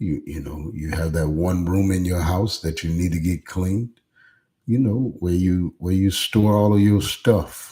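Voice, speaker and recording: A man's very deep, low, dark, mellow voice, somewhat breathy, with an American accent at a fairly slow pace on a very clean recording with a silent background. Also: ordinary pitch variation. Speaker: pastor. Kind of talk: live stream motivational talk. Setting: live stream. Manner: speaking low; hesitant, many fillers.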